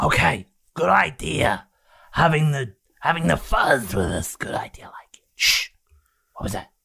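A man puts on a raspy character voice. He speaks at a fairly slow pace, with long, frequent pauses. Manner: loud conspiratorial whispering, rambling.

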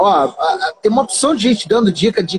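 Recorded in a dry, close sound with no echo, a man speaks at a fairly quick pace. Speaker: podcast host. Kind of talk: casual chat. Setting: Instagram live.

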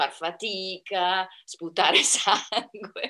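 A woman with a fairly low pitch and a bright, sharp tone is heard in a very clean recording with a silent background. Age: 60s. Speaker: amateur pole dancer. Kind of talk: interview.

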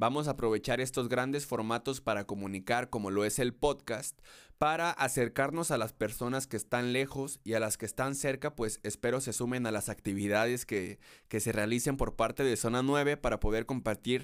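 A man's normal speaking voice at medium pitch, with ordinary pitch variation and a moderate pace, on a very clean recording with a silent background. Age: 20s. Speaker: podcast host and concert photographer. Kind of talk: solo podcast introduction monologue.

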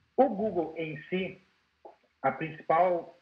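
A man's voice, high in pitch for a man. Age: 30s. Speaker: IT consultant. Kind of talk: webinar presentation.

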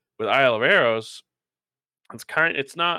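A man speaks at a moderate pace in a dry, close sound with no echo on a very clean recording with a silent background. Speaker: editor-in-chief, games journalist. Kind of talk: casual chat.

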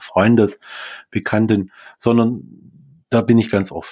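A man's normal speaking voice, fairly low in pitch and fairly slow in pace, in a very clean recording with a silent background. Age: 40s. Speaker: grief coach. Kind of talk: interview.

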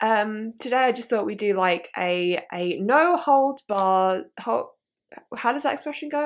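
A woman in a southern English accent speaks with very wide pitch swings on a very clean recording with a silent background. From southeast England. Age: 20s. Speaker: podcast host. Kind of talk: casual chat. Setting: live video stream at home. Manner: animated.

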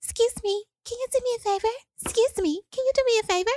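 In a squeaky, put-on character voice, the speaker talks at a very fast pace and an extremely high pitch. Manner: polite, hesitant.

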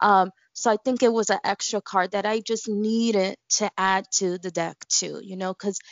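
She talks at a medium pitch with ordinary pitch variation. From Bushwick, Brooklyn, New York. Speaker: tarot reader and deck creator. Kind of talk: interview.

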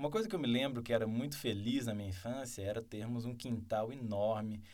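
With audible room echo, a man talks at a fairly quick pace in a dark, mellow tone, medium in pitch with ordinary pitch variation. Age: 30s. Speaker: mayoral candidate. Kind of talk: interview.

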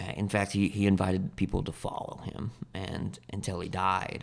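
An American-accented man speaks at a fairly slow pace. His pitch is fairly low, with vocal fry. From US Pacific Northwest, Spokane, Washington. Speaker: former addict turned outreach worker. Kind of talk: testimony.

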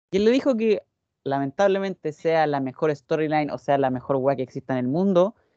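Against a quiet background, a man with a Chilean accent talks at a very fast pace with ordinary pitch variation in a dry, close sound with no echo. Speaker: wrestling podcast panelist. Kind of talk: casual chat.

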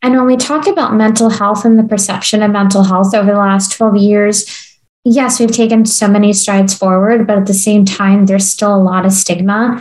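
A woman speaks at a very even loudness with a somewhat breathy voice. Her intonation stays fairly even throughout. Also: medium pitch for a woman, moderate pace. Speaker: podcast host. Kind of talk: interview conversation.

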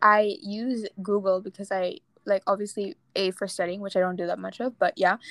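The sound is dry and close with no echo as a woman talks in a plain, everyday voice at a fairly high pitch. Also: very clean recording, silent background. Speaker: podcast host. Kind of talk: casual chat.

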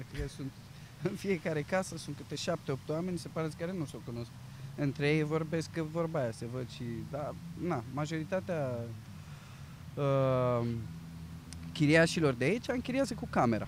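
Ordinary pitch variation at a moderate pace, somewhat breathy, with long, frequent pauses. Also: man, fairly high pitch for a man. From Romania, Bucharest. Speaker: actor working in retail. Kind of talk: interview. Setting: outdoors in a park.

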